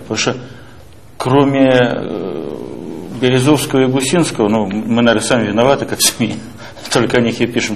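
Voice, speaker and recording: The speech moves at a moderate pace with fairly even intonation over light background noise. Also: man. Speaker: newspaper editor. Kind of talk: press interview. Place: office.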